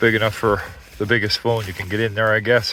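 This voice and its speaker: At a moderate pace, a man with a fairly low voice talks amid noticeable background noise. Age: 60s. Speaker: outdoor gear reviewer. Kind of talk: product walkthrough review. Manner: casual, conversational.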